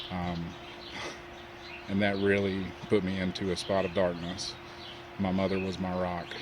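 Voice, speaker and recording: In a Southern US accent, a man speaks at a moderate pace with a very deep, low pitch and monotone, flat intonation, with audible room echo and noticeable background noise. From US South, North Carolina. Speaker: web designer sharing personal story. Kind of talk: personal testimony.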